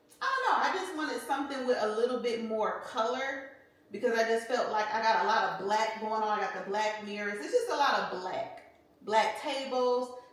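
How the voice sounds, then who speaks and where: A woman speaks in an animated tone at a moderate pace, her fairly high pitch showing ordinary variation. Audible room echo and noticeable background noise surround her voice. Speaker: lifestyle vlogger. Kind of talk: casual vlog talk to camera. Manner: loud; chatty, animated.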